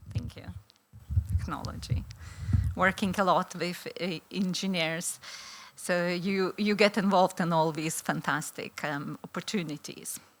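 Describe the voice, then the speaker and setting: Speaking with a Lithuanian accent, a woman with a fairly low pitch and vocal fry talks at a fairly slow pace, leaving long, frequent pauses. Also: fairly even intonation. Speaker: law professor. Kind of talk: conference presentation. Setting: conference hall with audience. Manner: hesitant, many fillers.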